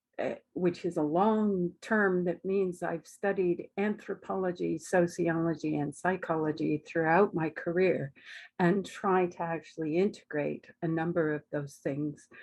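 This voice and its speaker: A woman with a Canadian accent has a plain, everyday voice, fairly low in pitch, with fairly even intonation. She talks at a fairly slow pace with hardly any pauses against a quiet background. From Canada. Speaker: academic researcher, psychologist. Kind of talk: webinar talk. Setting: online webinar.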